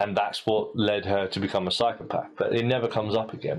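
This voice carries a British accent. It moves along fairly quickly. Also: man. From Britain. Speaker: podcast host. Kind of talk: casual chat. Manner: halting.

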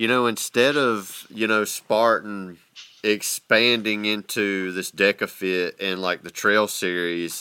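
With a Southern US accent, a man talks at a very slow pace in a fairly low pitch, his tone bright and sharp and his intonation fairly even. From US South. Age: 40s. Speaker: podcast host. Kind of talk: casual chat.

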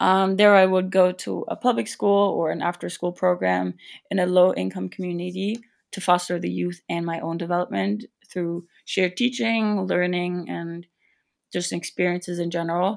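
With a German accent, a woman speaks at a moderate pace in a fairly low pitch with ordinary pitch variation. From Germany. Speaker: former college athlete. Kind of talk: interview. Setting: remote call.

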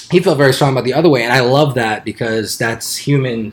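A plain, everyday voice from a man with an American accent, medium in pitch, at a fairly quick pace. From Arizona. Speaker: sports podcast co-host. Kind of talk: casual chat.

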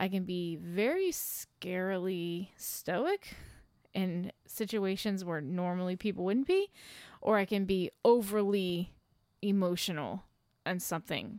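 A woman with a plain, everyday voice talks at a fairly slow pace and medium pitch with fairly even intonation, on a very clean recording with a silent background, dry and close with no echo. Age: 30s. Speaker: podcast host's wife. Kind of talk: casual chat.

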